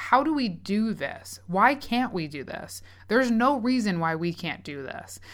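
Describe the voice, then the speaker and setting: Sing-song and lively in intonation, a woman speaks at a fairly slow pace in a bright, sharp tone on a very clean recording with a silent background. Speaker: podcast co-host. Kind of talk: casual chat. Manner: sing-songy; animated.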